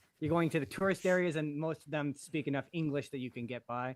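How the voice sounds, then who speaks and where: He speaks with a strong Canadian accent at a fairly quick pace. This man's pitch varies in an ordinary way. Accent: thick Canadian. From western Canada. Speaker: content creator. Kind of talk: casual chat. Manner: halting.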